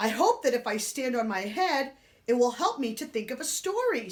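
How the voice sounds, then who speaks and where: This is a woman using a put-on character voice. She talks in a high pitch at a moderate pace. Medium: read story.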